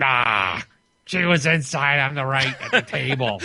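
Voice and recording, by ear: A man speaks at a fairly slow pace and medium pitch. He uses a put-on character voice.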